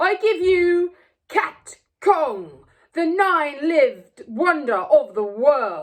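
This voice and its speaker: A woman's squeaky put-on character voice, extremely high-pitched, at a very slow pace. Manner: proud, announcing.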